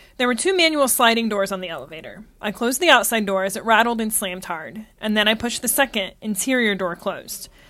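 Talking at a very fast pace with hardly any pauses, a woman uses a fairly high pitch, lively intonation and a bright, sharp tone. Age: 30s. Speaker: travel podcaster. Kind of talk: scripted narration.

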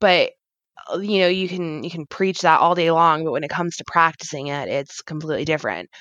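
With an American accent, a woman talks at a fairly quick pace in a fairly low pitch and fairly even intonation. It's a plain, everyday voice, recorded dry and close with no echo against a quiet background. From New Jersey and Maryland. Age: 30s. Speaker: mother and cannabis user. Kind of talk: interview, personal story.

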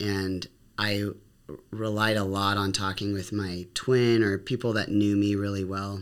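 Fairly low in pitch, a man speaks at a fairly slow pace with monotone, flat intonation. The background is silent in this very clean recording. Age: 40s. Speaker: educator. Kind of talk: casual chat.

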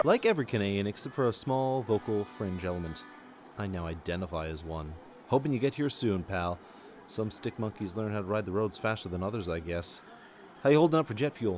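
With music in the background, a man's fairly low voice moves at a fairly quick pace. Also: lively intonation. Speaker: radio host. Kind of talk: comedy sketch parody of trucker CB radio banter and DJ patter. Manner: animated, playful, over-the-top trucker-style delivery with mock-folksy slang.

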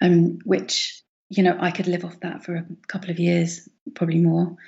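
Somewhat breathy and fairly low-pitched, a woman speaks at a moderate pace with monotone, flat intonation. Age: 40s. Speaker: illustrator and former fashion designer. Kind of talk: casual interview chat. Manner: hesitant, many fillers.

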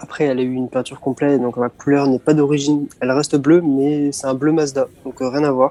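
A man speaks in a fairly high voice with a dark, mellow tone and monotone, flat intonation. The sound is dry and close, with no echo. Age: 20s. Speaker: student and car enthusiast. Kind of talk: interview.

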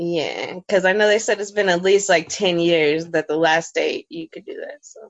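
In an ordinary speaking voice with medium pitch and ordinary pitch variation, a woman talks at a moderate pace with hardly any pauses and big swings in loudness. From Oklahoma, Tulsa. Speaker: comedian. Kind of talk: casual chat.

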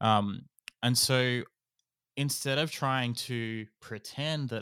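Recorded very cleanly against a silent background, a man with an Australian accent speaks in a bright, sharp tone. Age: 30s. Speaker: podcast company founder. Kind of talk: interview.

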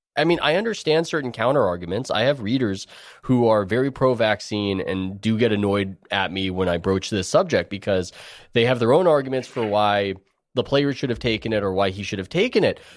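A man's medium-pitched voice at a fairly quick pace, lively intonation, very clean recording with a silent background. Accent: American. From US West Coast, San Diego. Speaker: sports writer. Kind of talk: interview conversation.

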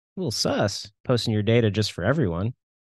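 A man is speaking in a quiet background. The sound is dry and close, with no echo. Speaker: podcast host. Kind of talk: casual chat. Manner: animated.

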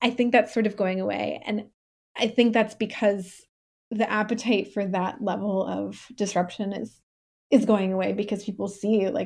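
A woman with an American accent talks with vocal fry and fairly even intonation in a very clean recording with a silent background. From Pennsylvania, US. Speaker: journalist. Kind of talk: interview.

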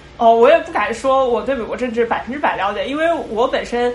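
A woman's high voice with lively intonation at a fairly quick pace, amid noticeable background noise and audible room echo. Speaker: programmer. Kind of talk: casual chat. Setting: video call.

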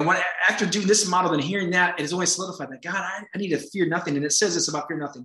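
A high-pitched man's voice, animated and energetic, bright and sharp in tone, with ordinary pitch variation. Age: 40s. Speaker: pastor and county supervisor. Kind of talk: interview conversation. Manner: fast talker, energetic.

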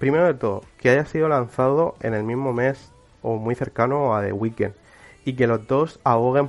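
Fairly even intonation carries the words along at a moderate speed. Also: man. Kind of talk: cultural commentary monologue. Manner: halting, many fillers and repetitions.

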